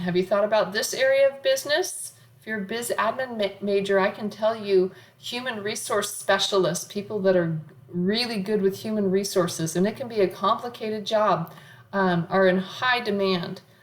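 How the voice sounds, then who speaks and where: A woman at medium pitch and a moderate pace, with ordinary pitch variation and noticeable background noise. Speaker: college accounting professor. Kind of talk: lecture.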